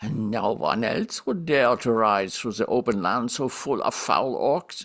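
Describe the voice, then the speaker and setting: A man puts on a whiny character voice at a medium pitch, speaking at a moderate pace with ordinary pitch variation. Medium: read story. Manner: whining.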